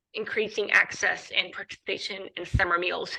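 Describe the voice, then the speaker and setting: This woman has a bright, sharp tone at a medium pitch. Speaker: anti-hunger program coordinator. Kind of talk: presentation at online meeting. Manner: fast; frequent fillers (um, uh).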